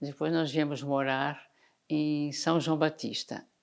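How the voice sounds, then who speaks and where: A woman speaks at a very slow pace in a very deep, low voice over a quiet background. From Santa Catarina, Brazil (Canelinha). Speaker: retired teacher. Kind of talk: documentary interview.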